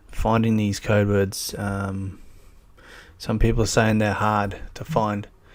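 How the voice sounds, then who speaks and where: At a very slow pace, a man talks with a strong Australian accent. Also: very clean recording, silent background. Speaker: YouTuber. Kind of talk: live stream chat. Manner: casual, hesitant with many fillers.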